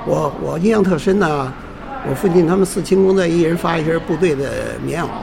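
Noticeable background noise and audible room echo surround a man speaking at a fairly quick pace. His pitch is high, his intonation fairly even. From Beijing. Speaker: retired university teacher and film collector. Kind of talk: oral history interview. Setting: pizza restaurant. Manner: halting, repetitive. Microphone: poor sound quality.

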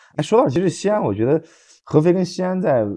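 A man's dark, mellow tone with lively intonation, over a quiet background. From rural Anhui, China. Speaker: podcast co-host. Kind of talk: casual chat.

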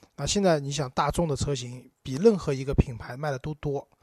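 The dark, mellow tone comes at a fairly quick pace in a dry, close sound with no echo. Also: man. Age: 30s. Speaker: podcast co-host about cars. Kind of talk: casual chat.

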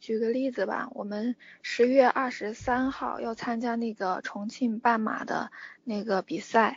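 With fairly even intonation, a woman speaks at a fairly high pitch. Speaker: fan running club organizer. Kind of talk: interview. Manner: halting.

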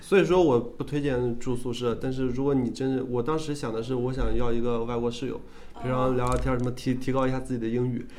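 The man's intonation stays fairly even as he talks at a very fast pace. The room echo is audible, and there is noticeable background noise. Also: medium pitch for a man. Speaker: student radio host. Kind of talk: casual chat.

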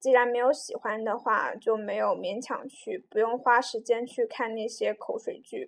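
Her voice is high-pitched for a woman, with ordinary pitch variation. She speaks at a fairly slow pace. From China, Jiujiang, Jiangxi. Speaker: podcaster. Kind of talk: casual monologue. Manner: halting, many fillers.

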